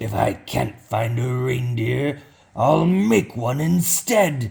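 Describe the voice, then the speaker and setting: Growling in a put-on character voice, a man speaks at a very slow pace with a medium pitch. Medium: read story. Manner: snarling, sneering.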